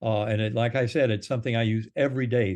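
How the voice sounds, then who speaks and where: A plain, everyday voice moves at a fairly quick pace, its intonation fairly even. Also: man. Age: 60s. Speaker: neurosurgeon and near-death experiencer. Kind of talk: interview conversation.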